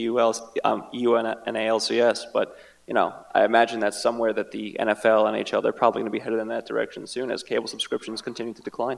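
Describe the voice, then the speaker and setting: A man talks at a very fast pace, his loudness swinging widely. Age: young. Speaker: esports attorney. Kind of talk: panel discussion. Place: hall. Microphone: handheld.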